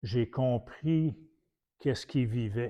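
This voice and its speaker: A very slow delivery in a Quebec accent, with ordinary pitch variation and a quiet background. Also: man. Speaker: preacher. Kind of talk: sermon.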